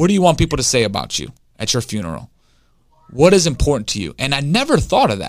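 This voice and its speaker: A man's medium-pitched voice with an American accent, energetic and passionate, very fast, with very wide pitch swings and vocal fry. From Detroit, Michigan. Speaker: recovered addict and former inmate. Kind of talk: guided visualization read from a book, leading the listener to their own funeral; casual interview testimony. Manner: energetic, fired-up and passionate.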